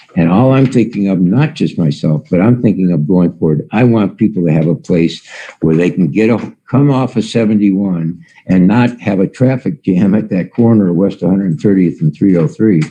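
A man with a fairly low pitch and a dark, mellow tone speaks at a moderate pace. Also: lively intonation, very even loudness. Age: 70s. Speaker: resident speaking at public meeting. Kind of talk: public comment at meeting. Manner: halting, repeats words.

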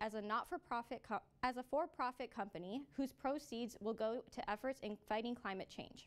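With a Canadian accent, a woman speaks at a fairly quick pace in a high pitch, her intonation lively. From Canada, Toronto area. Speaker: student news anchor. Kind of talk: news reading and street interview. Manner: friendly, upbeat interviewer. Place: studio.

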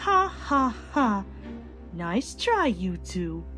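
A put-on character voice carries the speech. Clear music plays in the background. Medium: audio drama.

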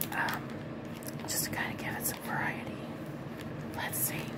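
A woman speaks at a moderate pace. Loud background noise runs underneath. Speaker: ASMR creator. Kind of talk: ASMR coloring tutorial, casual talk to camera. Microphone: phone near.

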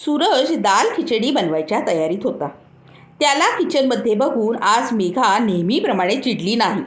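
With lively intonation, the speaker reads in a natural voice.

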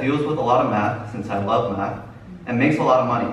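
Amid audible room echo and light background noise, a man talks at a fairly quick pace. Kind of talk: testimony speech. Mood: earnest, nervous laughs. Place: church. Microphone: camera far.

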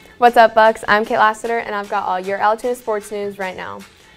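A woman is speaking. Faint music plays behind her. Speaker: student news anchor. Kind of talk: news report. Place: studio. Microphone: lapel.

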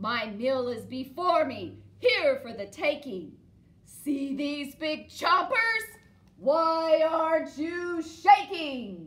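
A female-sounding put-on character voice, high-pitched and very slow. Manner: menacing, boastful.

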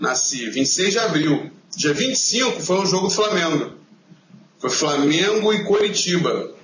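A high-pitched man with ordinary pitch variation, amid noticeable background noise and audible room echo. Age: 20s. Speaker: football fan website co-founder. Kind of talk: interview.

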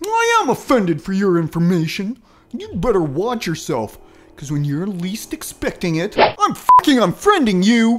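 At a moderate pace, a man talks in a high pitch with lively intonation. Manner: brash, crude, cheerfully dumb.

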